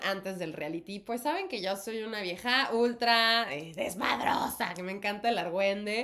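A woman with a normal speaking voice, medium in pitch, talks at a moderate pace with lively intonation. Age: 30s. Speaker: actress and podcast co-host. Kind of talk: casual chat.

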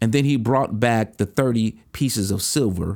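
Recorded very cleanly against a silent background, a man speaks at a moderate pace in an unremarkable speaking voice, fairly low in pitch with ordinary variation. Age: 50s. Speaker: bishop and podcast host. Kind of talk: motivational sermon-style monologue.

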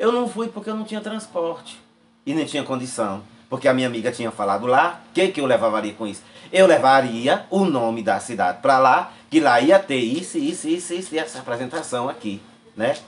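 His pitch swings very widely as a man speaks at a fairly quick pace. His voice is fairly high-pitched. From Quixeré, Ceará, Brazil. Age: 60s. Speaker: folk artist and hairdresser. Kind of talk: interview.

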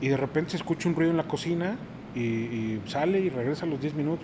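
A man speaks at a very fast pace with a fairly high pitch. Noticeable background noise runs underneath. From Mexico City. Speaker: sommelier and wine and craft beer producer. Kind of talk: casual chat.

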